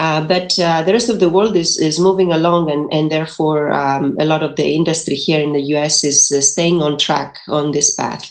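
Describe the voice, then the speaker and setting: A woman with a Greek accent speaks in a very deep, low pitch with fairly even intonation. She barely pauses, and noticeable background noise is present. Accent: Greek, still noticeable. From Greece, mountain region. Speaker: engineering professor, energy institute director. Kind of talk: panel presentation. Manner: fast, many fillers.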